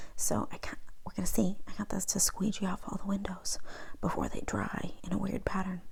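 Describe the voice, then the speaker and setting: A soft-spoken woman at a fairly quick pace, with noticeable background noise. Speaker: ASMR creator. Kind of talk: ASMR haul video, casual talk to camera. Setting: lo-fi home recording.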